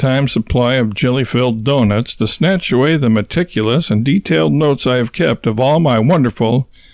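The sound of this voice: Everything is read in an unforced reading voice.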